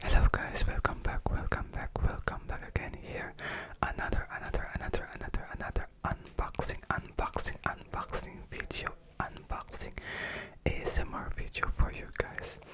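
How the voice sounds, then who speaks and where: Moderate-paced whispering from a man. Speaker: ASMR creator. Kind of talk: ASMR unboxing. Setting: close-mic home recording. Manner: whispered. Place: home room. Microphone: studio mic.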